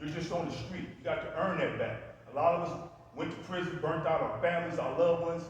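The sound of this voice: In a room with strong echo, a man with a fairly high pitch talks at a fairly quick pace with ordinary pitch variation.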